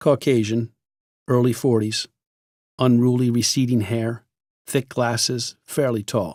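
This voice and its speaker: A man at medium pitch with fairly even intonation, very even loudness, a fairly slow pace and long, frequent pauses, in a dry, close sound with no echo. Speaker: audiobook narrator. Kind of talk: audiobook memoir reading. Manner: grave, heavy tone.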